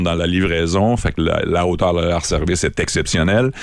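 Against noticeable background noise, a man talks at a very fast pace. His voice is very deep and low. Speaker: beer columnist. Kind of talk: radio chat. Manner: animated.

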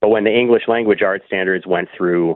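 With an American accent, a man has an ordinary speaking voice, a fairly low pitch and fairly even intonation. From US. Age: 40s. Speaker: high school social studies teacher. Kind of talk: interview. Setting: phone call.

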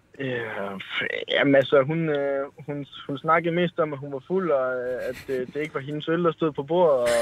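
With a North Jutland accent, a man talks at a fairly slow pace with hardly any pauses, a fairly high pitch, ordinary pitch variation and big swings in loudness over noticeable background noise. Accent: North Jutlandic dialect. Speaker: caller. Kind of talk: anecdote told on call-in show.

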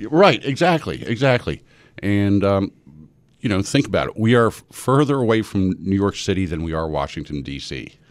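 A man speaks at a moderate pace in a fairly low voice, his pitch swinging very widely, on a very clean recording with a silent background. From US East Coast. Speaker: local party official. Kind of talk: radio interview. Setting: radio studio.

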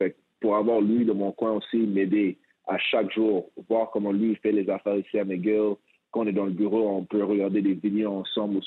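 A man's fairly low voice at a moderate pace. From Quebec, Montreal. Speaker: former pro basketball player and coach. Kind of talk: interview.

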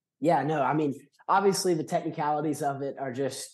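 A man at a fairly quick pace with an American accent and fairly even intonation, against a quiet background. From US South. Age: 20s. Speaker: student intern. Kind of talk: casual chat. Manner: halting.

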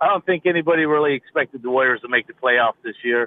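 Moving at a fairly quick pace, a man uses an unremarkable speaking voice, fairly high in pitch with ordinary pitch variation. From California, US. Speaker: caller. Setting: phone call, in a car.

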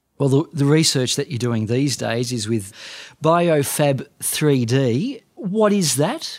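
The speech moves at a very slow pace, carried by lively intonation. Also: man, fairly high pitch for a man. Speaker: podcast interviewer. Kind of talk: interview conversation.

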